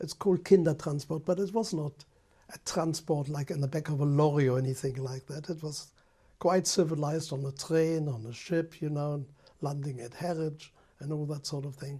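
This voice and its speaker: Somewhat breathy and dark, mellow in tone, a man speaks at a fairly high pitch with fairly even intonation and a moderate pace. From Germany. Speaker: Holocaust survivor giving testimony. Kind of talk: interview answer. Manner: hesitant, halting.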